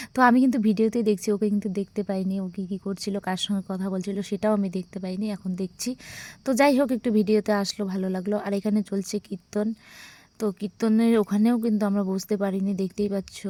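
Her voice has a dark, mellow tone and medium pitch, and the woman speaks in a monotone, flat intonation on a very clean recording with a silent background. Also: dry, close sound with no echo. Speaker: family vlogger. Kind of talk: vlog voiceover narration.

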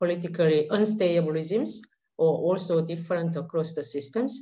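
Her voice somewhat breathy and fairly low, a woman talks at a fairly quick pace with lively intonation. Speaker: panelist. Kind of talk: panel presentation. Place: home room. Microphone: webcam.

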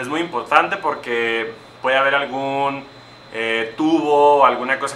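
Over light background noise and audible room echo, a man speaks at a medium pitch with fairly even intonation. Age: 20s. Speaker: chemical engineer. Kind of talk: educational talk for young children. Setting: industrial power plant, partly outdoors. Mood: friendly, encouraging. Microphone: phone near.

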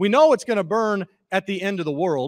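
Lively intonation in an American accent, with a quiet background. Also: man. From Missouri. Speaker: pastor. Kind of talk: sermon. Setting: church. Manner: halting. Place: church. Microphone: handheld.

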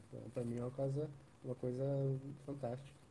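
Talking at a very fast pace, a man has a dark, mellow, somewhat breathy tone. Light background noise sits behind him. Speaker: trader and student support. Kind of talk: live stream interview. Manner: halting. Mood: reflective, candid. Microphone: quiet.

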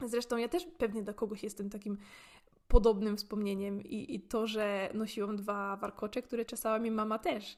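The speaker is a woman with a fairly high pitch. She talks at a moderate pace. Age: 20s. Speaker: podcaster. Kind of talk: casual monologue. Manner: talkative.

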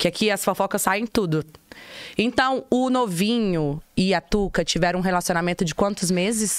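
A woman with lively intonation at a moderate pace, in a dry sound with no echo. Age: 30s. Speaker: podcast host. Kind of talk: casual chat. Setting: studio. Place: studio. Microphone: studio mic.

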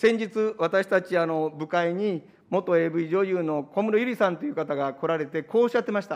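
The man's pitch is high, with ordinary variation. He speaks at a moderate pace. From Japan. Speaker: opposition politician. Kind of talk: parliamentary committee questioning. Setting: parliament committee room. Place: hall. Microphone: podium.

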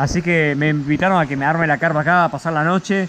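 A man at a fairly quick pace, with ordinary pitch variation over light background noise. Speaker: motorbike traveler vlogger. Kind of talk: casual vlog chat. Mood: unwell, dizzy, worried.

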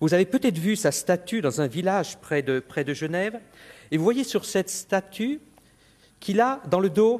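A high-pitched man's voice at a moderate pace with lively intonation. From France. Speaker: meteorologist; lecturer. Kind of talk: formal lecture. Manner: slightly halting with repetitions. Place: hall. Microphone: podium.

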